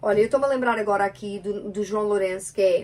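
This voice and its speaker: A woman speaks in a European Portuguese accent at medium pitch. Her tone is animated. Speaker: podcast co-host with her partner. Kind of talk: casual chat.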